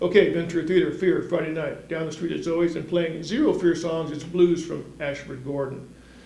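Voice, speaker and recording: With hardly any pauses, a man talks in a high pitch while his loudness swings widely. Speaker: music columnist. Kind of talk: scripted weekly event roundup. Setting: studio. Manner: fast; wisecracking, animated.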